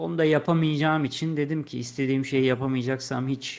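A man talks at a moderate pace with ordinary pitch variation. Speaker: gaming youtuber. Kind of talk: casual chat. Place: home room. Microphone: studio mic.

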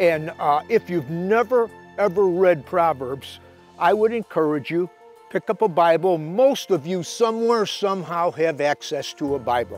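A man speaks in a high voice at a moderate pace. Faint music plays in the background, and the sound is dry with no echo. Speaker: fishing show host and inspirational speaker. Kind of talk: inspirational sermon-style talk to camera. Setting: shot indoors in his library with books around him. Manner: conversational, earnest, with frequent filler words. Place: garden.

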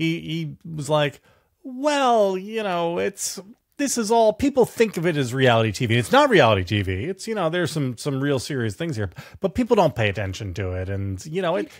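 Against a quiet background, a man talks. His pitch swings very widely. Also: moderate pace. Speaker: political commentator, show co-host. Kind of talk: commentary. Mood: sardonic, animated. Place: home room.

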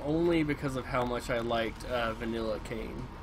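A man with a medium pitch and ordinary pitch variation talks over noticeable background noise. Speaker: gaming live streamer. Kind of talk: let's play live stream commentary. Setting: home streaming setup. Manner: casual, halting with frequent fillers. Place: home room.

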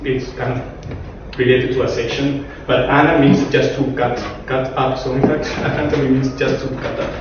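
The speech moves at a moderate pace amid noticeable background noise. Strong room echo surrounds it. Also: man. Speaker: speaker. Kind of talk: lecture. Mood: relaxed, self-amused. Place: classroom.

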